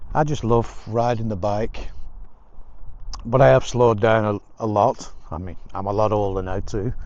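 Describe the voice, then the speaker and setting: A man with an English accent, fairly low in pitch, with long, frequent pauses. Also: ordinary pitch variation, moderate pace. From England. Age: 60s. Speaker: motorcycle vlogger. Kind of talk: casual vlog monologue. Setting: outdoors walking.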